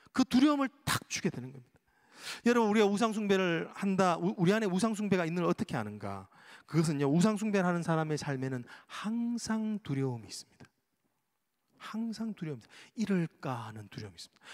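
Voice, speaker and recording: A man's high-pitched voice at a very fast pace, with very wide pitch swings and big swings in loudness. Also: very clean recording, silent background. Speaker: pastor. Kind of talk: sermon.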